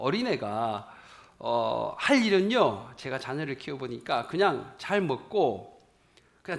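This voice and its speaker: Speaking at a very slow pace with vocal fry, a man with a fairly high pitch makes very wide pitch swings. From rural South Korea. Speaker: pastor. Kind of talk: sermon.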